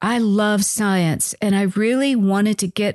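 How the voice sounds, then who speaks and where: A woman talks fairly slowly in an ordinary speaking voice at a medium pitch, with an American accent. The background is quiet. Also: dry, close sound with no echo. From US Midwest, northern Iowa. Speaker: nutritionist and dietitian podcast host. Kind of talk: scripted narration.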